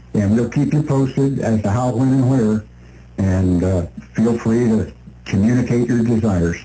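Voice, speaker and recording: A man speaks at a moderate pace in a dark, mellow, somewhat breathy voice of medium pitch, with ordinary pitch variation and very even loudness. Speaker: radio talk show co-host. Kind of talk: radio talk show. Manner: stutters at times.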